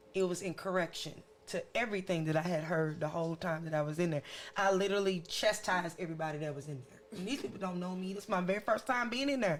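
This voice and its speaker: A woman talks at a very fast pace with big swings in loudness. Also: medium pitch for a woman, ordinary pitch variation. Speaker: podcast co-host. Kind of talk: casual chat. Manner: stern.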